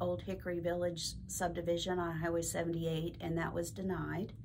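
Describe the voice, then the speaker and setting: At a moderate pace, a woman with a fairly low pitch talks in an ordinary speaking voice over light background noise. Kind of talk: public update address. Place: office.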